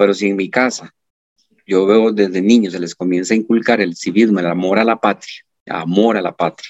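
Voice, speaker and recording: In a dry, close recording with no echo, a man with a plain, everyday voice talks at a fairly quick pace, his fairly low pitch held in fairly even intonation. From Costa Rica, Turrialba. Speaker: high school teacher. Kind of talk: interview.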